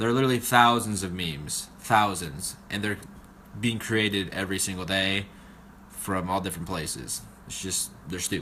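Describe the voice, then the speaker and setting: Speaking at a moderate pace, a man uses a bright, sharp tone and a fairly low pitch with ordinary pitch variation. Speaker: student presenter. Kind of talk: class presentation. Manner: halting.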